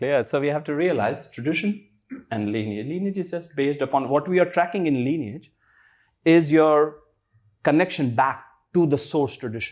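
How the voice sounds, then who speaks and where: Against a quiet background, a man with an Indian accent speaks at a fairly high pitch with ordinary pitch variation. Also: moderate pace. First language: Hindi. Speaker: spiritual teacher. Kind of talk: interview.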